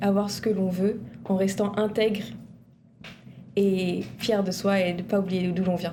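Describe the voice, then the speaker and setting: Somewhat breathy and dark, mellow in tone, a woman speaks at medium pitch and a fairly slow pace with monotone, flat intonation and audible room echo. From Réunion, Saint-André. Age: 20s. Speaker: university student. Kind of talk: TV interview.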